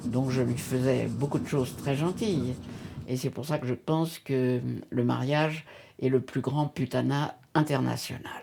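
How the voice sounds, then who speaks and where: A woman's very deep, low voice with vocal fry, a dark, mellow tone and fairly even intonation. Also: very clean recording, silent background. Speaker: feminist activist. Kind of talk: documentary interview. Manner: hesitant with frequent fillers.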